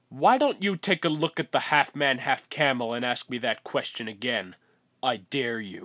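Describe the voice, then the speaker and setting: Against a very clean recording with a silent background, a man of medium pitch performs a put-on character voice at a moderate pace. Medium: fan dub.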